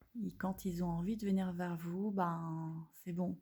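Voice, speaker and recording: A woman speaks in a dark, mellow tone that is somewhat breathy, her intonation flat and monotone. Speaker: holistic therapist. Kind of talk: casual demonstration video. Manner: hesitant, many fillers.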